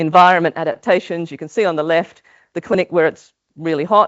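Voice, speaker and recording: A woman speaks in an Australian accent. Her voice is fairly low and her pace fairly quick. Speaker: maternal health researcher. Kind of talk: conference talk. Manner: hesitant, many fillers.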